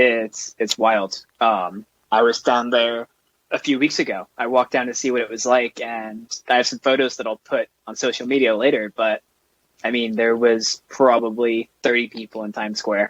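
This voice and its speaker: Here a man with a New York accent talks at a medium pitch. His intonation is monotone and flat, and the sound is dry and close with no echo. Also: moderate pace. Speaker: racing driver. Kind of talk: casual chat.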